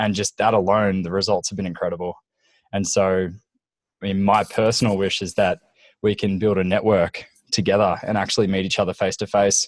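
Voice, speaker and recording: Against a quiet background, a man with a fairly low voice talks fairly quickly in a flat monotone, the sound dry and close with no echo. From Australia, Gold Coast. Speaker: business mastermind group organizer. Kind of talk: casual group video call.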